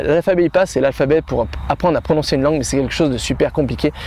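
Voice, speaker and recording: A man talks at a very fast pace. Noticeable background noise runs beneath him. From France. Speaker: language-learning youtuber. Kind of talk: vlog-style tutorial. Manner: animated; halting with repetitions.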